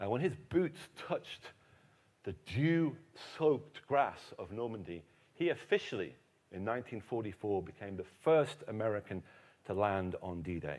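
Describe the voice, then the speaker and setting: At a moderate pace, a man with a medium-pitched voice talks in an animated tone, his pitch swinging very widely. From England. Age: 50s. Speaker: historian and author. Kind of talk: keynote lecture. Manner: animated, humorous storytelling.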